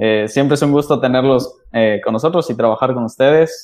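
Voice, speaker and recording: The pace is moderate. It's an unremarkable speaking voice. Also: man. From Mexico City. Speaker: podcast host. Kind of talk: casual chat.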